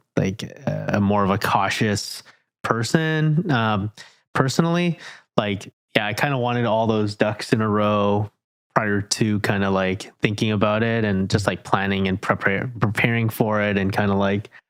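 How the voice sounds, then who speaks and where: A man with an ordinary speaking voice talks at a fairly slow pace and fairly low pitch with ordinary variation, in a very clean recording over a silent background. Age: 30s. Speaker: podcast host. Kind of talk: casual interview chat.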